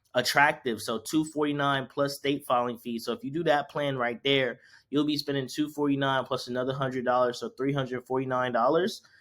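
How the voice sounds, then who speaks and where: Speaking at a fairly quick pace with hardly any pauses, a man uses a fairly high pitch and fairly even intonation on a very clean recording with a silent background. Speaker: business tutorial creator. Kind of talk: tutorial. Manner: fast; casual.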